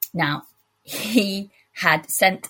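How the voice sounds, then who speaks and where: Somewhat breathy, a woman speaks with a British accent and fairly even intonation. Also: very clean recording, silent background. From UK. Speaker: listener voice memo contributor. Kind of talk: personal story told in voice memo.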